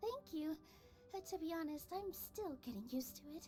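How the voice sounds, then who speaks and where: Squeaky and warm-toned, a female-sounding voice in a put-on character voice speaks at a moderate pace in a high pitch, over clear background noise. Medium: video game. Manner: warm, soft-spoken.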